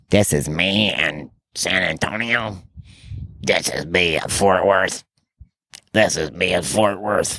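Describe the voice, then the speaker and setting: In a put-on character voice, a man speaks raspy and very deep, at a fairly slow pace. He leaves long, frequent pauses. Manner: put-on, mocking.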